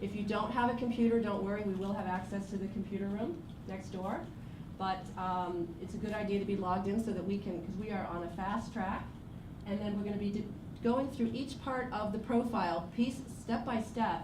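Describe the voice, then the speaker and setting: A woman at medium pitch, fairly quick and fairly even in intonation, with audible room echo and noticeable background noise. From US Northeast, moved around as a child (Boston, Rochester, Pennsylvania). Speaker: workshop presenter, personal branding consultant. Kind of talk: workshop presentation to an audience. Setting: university room with live audience.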